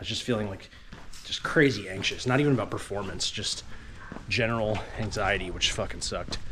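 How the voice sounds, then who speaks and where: A man at a medium pitch and fairly quick pace, fairly even intonation, with audible room echo and noticeable background noise. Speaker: ultrarunner vlogger. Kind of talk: casual vlog narration while running.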